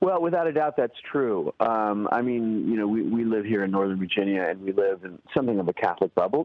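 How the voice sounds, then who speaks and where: A man talks in a fairly low pitch with ordinary pitch variation. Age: 60s. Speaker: writer and activist. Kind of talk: radio interview. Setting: phone call. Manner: halting, many repeated words.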